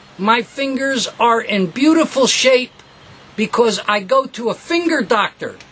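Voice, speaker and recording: A man with an extremely high-pitched voice sounds animated, with ordinary pitch variation, over noticeable background noise. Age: 70s. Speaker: guitar repair technician and teacher. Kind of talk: tutorial.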